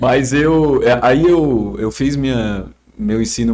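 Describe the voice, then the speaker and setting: A man is speaking here. His voice is medium in pitch. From Ceará, Brazil. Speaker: psychiatrist. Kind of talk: casual chat.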